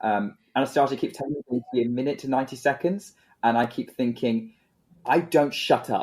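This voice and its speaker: Speaking at a fairly quick pace, a man with a British accent uses a medium pitch. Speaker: podcast co-host.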